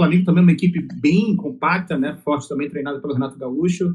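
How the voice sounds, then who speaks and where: A man with a high pitch and a dark, mellow tone at a very fast pace. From Amazonas, northern Brazil. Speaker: podcast host. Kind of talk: podcast interview.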